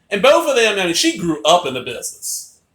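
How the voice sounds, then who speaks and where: With a raised, projected voice, a man talks at a fairly slow pace in a bright, sharp, animated tone with lively intonation. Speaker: wrestling fan vlogger. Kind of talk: casual vlog monologue. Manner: loud.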